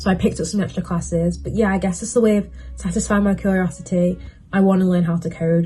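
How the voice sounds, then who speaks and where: With a British accent, a woman talks at a very fast pace. Music plays in the background. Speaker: university student vlogger. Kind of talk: casual vlog advice while doing makeup.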